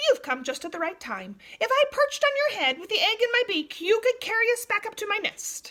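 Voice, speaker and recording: A woman does a squeaky, put-on character voice at an extremely high pitch, talking at a fairly quick pace with hardly any pauses. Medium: read story.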